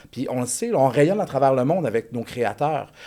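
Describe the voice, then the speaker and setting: A man speaks with a Quebec accent in a fairly high pitch. His tone is dark and mellow, and his intonation is lively. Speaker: elementary music teacher. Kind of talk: casual chat.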